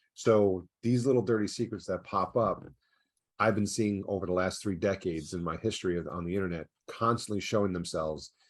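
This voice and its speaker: A man with a New York accent speaks at a fairly quick pace with a fairly low pitch and ordinary pitch variation. The background is quiet. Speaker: ad fraud prevention company founder. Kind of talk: podcast interview. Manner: fast.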